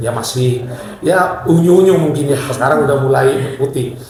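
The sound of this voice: A man with a medium pitch and slightly mellow tone speaks at a moderate pace with ordinary pitch variation. Strong room echo surrounds his voice.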